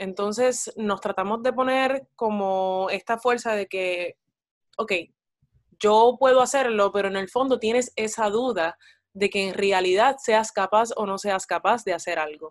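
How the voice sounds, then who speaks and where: Captured in a very clean recording with a silent background, a woman with a plain, everyday voice and a fairly high pitch speaks at a fairly slow pace with ordinary pitch variation. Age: 20s. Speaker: actress and psychology student. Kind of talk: casual interview chat. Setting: call.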